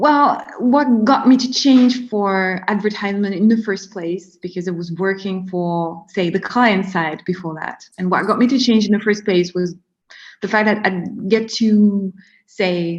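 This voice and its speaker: Somewhat breathy and at a medium pitch, a woman with a French accent speaks at a fairly slow pace with ordinary pitch variation against a quiet background. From France. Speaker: marketing strategist. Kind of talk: interview. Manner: hesitant, many fillers.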